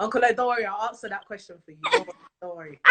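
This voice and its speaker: A woman speaks in an animated tone with a London accent. Her pitch varies in an ordinary way. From London, England. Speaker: talk show host. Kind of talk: live interview chat. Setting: live video stream.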